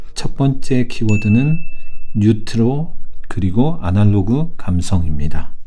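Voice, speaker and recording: A man speaks at a very slow pace and a medium pitch, with very wide pitch swings. Noticeable background noise can be heard. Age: 40s. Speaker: film commentator. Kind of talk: film commentary narration.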